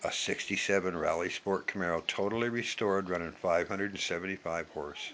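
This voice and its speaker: A man with an American accent speaks at a fairly low pitch and a fairly quick pace. His intonation is fairly even, and background noise is noticeable. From US Pacific Northwest, Yakima, Washington. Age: 60s. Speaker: vlogger. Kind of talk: impassioned monologue. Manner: emphatic.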